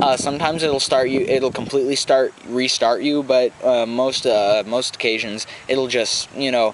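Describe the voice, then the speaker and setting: Noticeable background noise sits under a man speaking at a moderate pace and medium pitch, with very even loudness and fairly even intonation. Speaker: podcast co-host. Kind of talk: casual chat.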